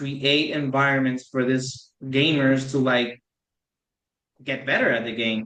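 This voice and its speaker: In a Spanish accent, a bright, sharp voice speaks at a fairly slow pace with monotone, flat intonation and long, frequent pauses. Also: man, medium pitch for a man. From Puerto Rico. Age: 20s. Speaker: PhD student and esports competitor. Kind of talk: podcast interview. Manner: halting, many fillers.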